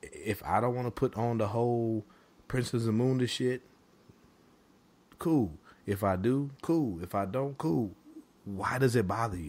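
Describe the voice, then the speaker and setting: A man at a medium pitch with ordinary pitch variation, fairly slow and with long, frequent pauses. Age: 40s. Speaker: podcast co-host. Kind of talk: casual chat. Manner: animated.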